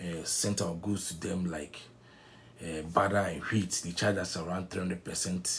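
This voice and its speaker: Somewhat breathy, the voice moves at a moderate pace with fairly even intonation in a very clean recording with a silent background. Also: man. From Ghana. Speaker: online news commentator. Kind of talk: political commentary monologue. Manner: halting, with fillers and restarts.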